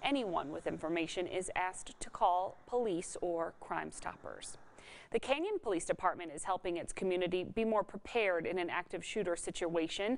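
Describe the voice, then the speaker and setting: Talking at a moderate pace, a woman uses an ordinary speaking voice with ordinary pitch variation. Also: medium pitch for a woman. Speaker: television anchor, reporter and lifestyle show host. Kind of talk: local TV news anchor read. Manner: clear, professional, measured.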